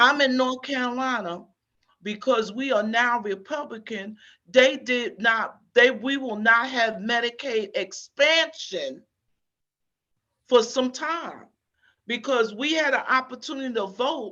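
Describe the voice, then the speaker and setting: With a bright, sharp tone, a woman speaks at a high pitch and a fairly slow pace, her pitch varying in an ordinary way. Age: 60s. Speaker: HIV community advocate, panelist. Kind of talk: town hall panel discussion. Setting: panel at a conference town hall. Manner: halting, many fillers.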